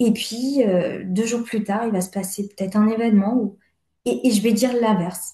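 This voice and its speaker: Her voice is fairly high, somewhat breathy and dark, mellow in tone, from a woman speaking. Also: moderate pace. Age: 30s. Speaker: therapy client. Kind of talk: personal testimony in consultation. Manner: halting, many hesitations.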